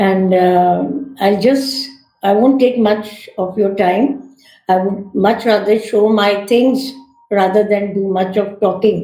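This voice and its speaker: A woman speaks very slowly in a fairly high, somewhat breathy voice with fairly even intonation. Room echo is audible. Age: 60s. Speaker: retired teacher and environmentalist. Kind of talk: talk to an online audience.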